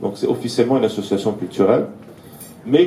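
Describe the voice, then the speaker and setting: With audible room echo, a man speaks at a medium pitch. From Syria, Aleppo (Armenian community). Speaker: political activist speaker. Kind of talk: lecture. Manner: halting, many hesitations.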